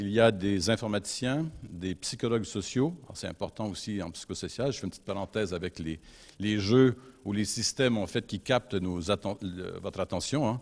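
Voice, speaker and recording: A man with a slight North American accent talks at a moderate pace and fairly low pitch, with ordinary pitch variation and big swings in loudness. The recording is very clean, with a silent background. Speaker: university researcher. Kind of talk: conference talk. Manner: hesitant, many fillers.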